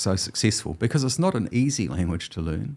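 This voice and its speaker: In a New Zealand accent, a man speaks at a medium pitch. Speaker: historian and professor. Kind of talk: interview conversation.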